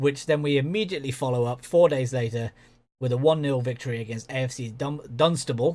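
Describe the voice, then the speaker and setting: A man with a southern English accent, medium pitch and a fairly quick pace, on a very clean recording with a silent background. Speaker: video game commentator. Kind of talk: gaming commentary. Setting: home recording with headphones. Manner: monotone.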